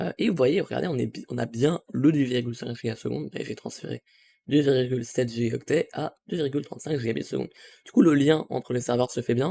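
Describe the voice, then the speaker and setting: Dry and close with no echo, a man's medium-pitched voice has a dark, mellow tone and vocal fry, moving at a fairly quick pace with ordinary pitch variation. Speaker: tech youtuber. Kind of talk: tutorial. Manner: hesitant, many fillers.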